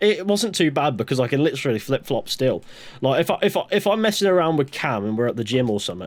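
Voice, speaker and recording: A man's fairly high voice, very fast, with very wide pitch swings. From West Country, England, then Greater Manchester from age nine. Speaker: podcast host. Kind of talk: casual chat. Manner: halting, many repeated words.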